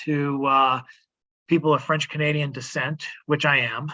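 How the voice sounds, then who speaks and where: The voice comes in a New England accent at a moderate pace. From Rhode Island, Woonsocket. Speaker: poet. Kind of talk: poetry reading. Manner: halting.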